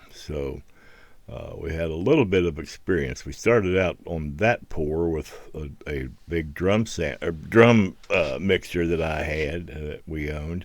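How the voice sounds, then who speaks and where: In a very clean recording with a silent background, a man with an American accent speaks fairly slowly in a very deep, low pitch with vocal fry and big swings in loudness. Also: ordinary pitch variation. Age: 70s. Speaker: hobbyist video creator. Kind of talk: voiceover narration. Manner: halting.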